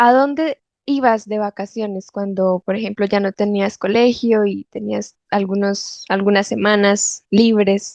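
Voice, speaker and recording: Her pace is very slow. This woman's pitch is fairly high. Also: quiet background. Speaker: Spanish teacher. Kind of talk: interview questions.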